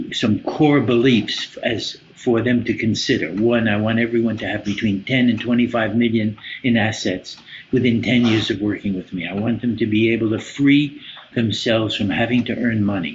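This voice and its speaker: A man speaks at a medium pitch with an American accent and fairly even intonation. Noticeable background noise runs under his voice. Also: moderate pace. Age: 80s+. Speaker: business coach and psychotherapist. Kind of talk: podcast interview.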